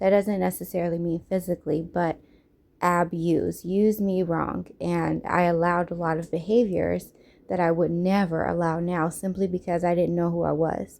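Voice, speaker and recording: Her pitch sits fairly low and her intonation is flat and monotone. The woman keeps a moderate pace. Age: 30s. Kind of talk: personal testimony storytime.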